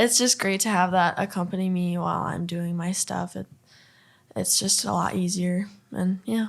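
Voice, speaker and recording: A woman with a northern US accent, medium pitch and fairly even intonation at a moderate pace, on a very clean recording with a silent background. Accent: northern US accent, noticeable. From Minnesota, Duluth. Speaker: country singer-songwriter. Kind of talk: podcast interview.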